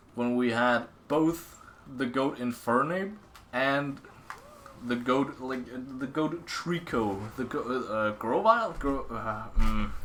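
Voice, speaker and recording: A man at a medium pitch, very slow pace and ordinary pitch variation, with long, frequent pauses and noticeable background noise. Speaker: gaming streamer. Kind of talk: casual gaming commentary. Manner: halting, many fillers and repetitions.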